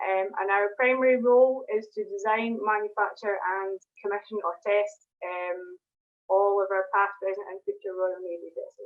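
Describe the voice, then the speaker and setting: A woman with a Scottish accent speaks at a moderate pace. Her pitch is medium and her intonation fairly even. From Scotland, Glasgow. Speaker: propulsion engineer. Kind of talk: online presentation. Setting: video call. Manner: hesitant, many fillers.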